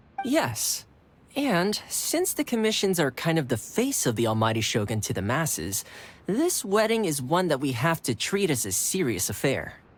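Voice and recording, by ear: A man puts on a character voice with a fairly high pitch and very wide pitch swings. A slightly husky edge runs through it. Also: moderate pace.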